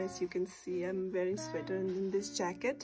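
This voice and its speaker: A woman's voice with music in the background. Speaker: vlogger. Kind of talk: casual vlog narration.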